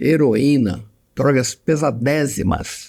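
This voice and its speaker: His tone is dark and mellow. The man speaks at a medium pitch. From Brazil, Mato Grosso and Rio de Janeiro. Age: 70s. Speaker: psychiatrist. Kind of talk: interview conversation.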